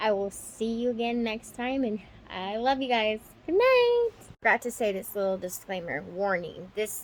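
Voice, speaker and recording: A woman with a fairly high voice speaks at a medium speed, her pitch moving in a normal way. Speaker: vlogger. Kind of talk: personal video diary. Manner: rambling, hesitant with many ums.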